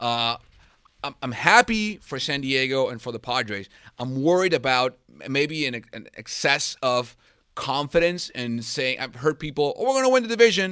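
Speaking with a Spanish accent at a moderate pace, a man uses fairly high pitch, lively intonation, a bright, sharp tone and big swings in loudness. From Venezuela. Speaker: sports journalist. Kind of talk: casual chat.

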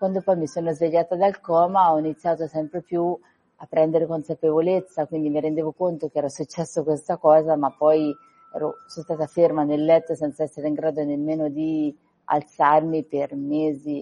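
A woman's very deep, low voice in a flat monotone. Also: moderate pace. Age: 40s. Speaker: author of a memoir about surviving an accident. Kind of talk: radio interview.

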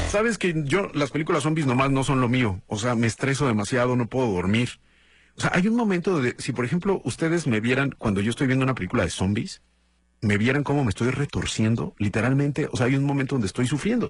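In front of a quiet background, a man talks very fast in an animated tone at very even loudness. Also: medium pitch for a man, lively intonation. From Mexico, Guadalajara, Jalisco. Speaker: radio host. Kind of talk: casual morning show monologue.

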